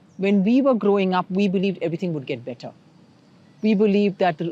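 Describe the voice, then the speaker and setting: In a plain, everyday voice, a woman talks at a fairly quick pace with ordinary pitch variation against a quiet background. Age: 60s. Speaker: feminist scholar. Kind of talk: interview.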